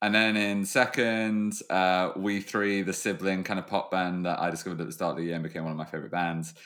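Pitched very deep and low, a man talks at a very fast pace with a British accent and hardly any pauses. His intonation stays fairly even, and the recording is very clean with a silent background. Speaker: podcast co-host. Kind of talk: casual chat.

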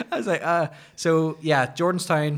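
A man speaks with a Northern Irish accent. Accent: Northern Irish (Ulster). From Northern Ireland, County Antrim (Ballymoney). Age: 20s. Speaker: podcast guest, former barista and wedding photographer. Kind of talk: casual chat.

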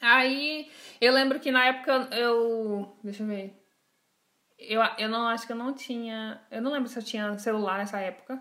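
In a very clean recording with a silent background, a woman with a fairly high pitch and a bright, sharp tone talks at a moderate pace with fairly even intonation. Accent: Brazilian. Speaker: podcast host. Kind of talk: casual chat.

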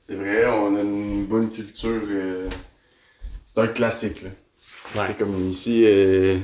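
A man talks at a very slow pace in a monotone, flat intonation. Audible room echo surrounds his voice. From Quebec City. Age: 20s. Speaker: French-Canadian guest. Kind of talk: casual chat.

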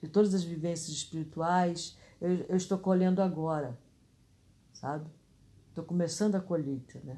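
Somewhat breathy and fairly low in pitch, the woman's dark, mellow voice keeps a moderate pace. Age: 60s. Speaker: spiritual podcaster. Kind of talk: casual reflection.

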